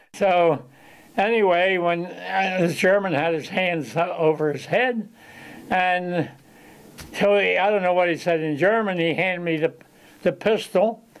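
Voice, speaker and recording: With noticeable background noise, a man talks at a fairly slow pace in a high voice, using ordinary pitch variation and long, frequent pauses. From Chester, Pennsylvania. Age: 90s. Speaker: war veteran. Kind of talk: casual interview storytelling. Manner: halting.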